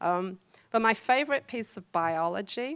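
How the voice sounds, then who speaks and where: A woman speaks with a slight Liverpool accent. The recording is very clean, with a silent background. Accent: English accent, Liverpool tinge. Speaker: professor. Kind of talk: talk to an audience. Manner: conversational, many fillers.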